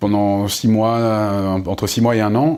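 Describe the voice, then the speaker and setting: The man's voice sits at a fairly low pitch. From France, Essonne (Paris suburbs). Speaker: novelist. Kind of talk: bookshop author interview. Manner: very fast; halting, many repetitions and fillers.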